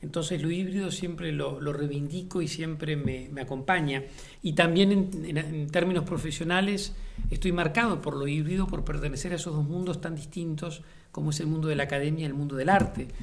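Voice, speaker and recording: A man talks at a fairly quick pace in a fairly high voice with fairly even intonation. Noticeable background noise and audible room echo fill the recording. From Uruguay, Montevideo. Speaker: playwright and theatre director. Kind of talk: interview monologue. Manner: thoughtful, frequent hesitations and repetitions.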